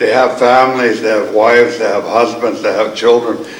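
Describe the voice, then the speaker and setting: With audible room echo and noticeable background noise, a man speaks at a moderate pace and medium pitch in a flat, monotone intonation. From Coast Salish, BC, Canada. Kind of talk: ceremonial welcome speech. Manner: warm, earnest.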